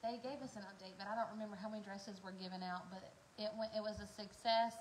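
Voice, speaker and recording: A woman's fairly even intonation in a room with audible echo. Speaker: farming vlogger. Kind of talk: casual chat. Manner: loud.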